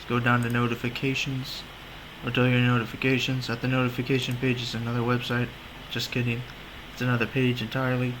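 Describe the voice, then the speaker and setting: With monotone, flat intonation, a man speaks at a very fast pace in a medium pitch over noticeable background noise. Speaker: website tutorial video maker. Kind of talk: screen-recorded tutorial. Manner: casual, joking.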